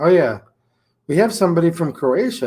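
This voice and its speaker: Lively intonation and a moderate pace mark this speaker with a Michigan accent, on a very clean recording with a silent background. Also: man. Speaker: gun YouTuber. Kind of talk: livestream chat. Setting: gun shop.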